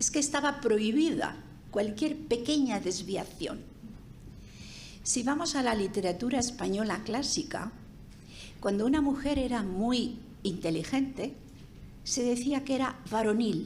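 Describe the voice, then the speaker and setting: With very even loudness and a high pitch, a woman speaks at a fairly slow pace with long, frequent pauses and audible room echo. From Spain. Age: 80s+. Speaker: sociologist speaker. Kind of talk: seminar talk.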